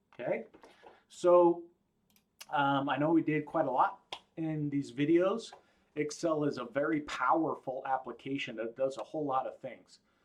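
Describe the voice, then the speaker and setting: A man speaks at a moderate pace with a fairly high pitch. He leaves long, frequent pauses. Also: ordinary pitch variation. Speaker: college instructor. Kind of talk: lecture. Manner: casual.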